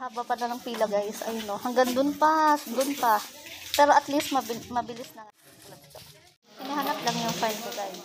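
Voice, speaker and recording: A woman speaks in a high pitch at a fairly quick pace. Her voice shows ordinary pitch variation. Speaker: vlogger. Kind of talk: casual vlog narration. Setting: outdoors. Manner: soft-spoken.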